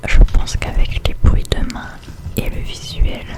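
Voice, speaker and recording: A woman whispers at a fairly slow pace. There is noticeable background noise. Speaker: ASMR creator. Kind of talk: ASMR whisper to camera. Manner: whispered.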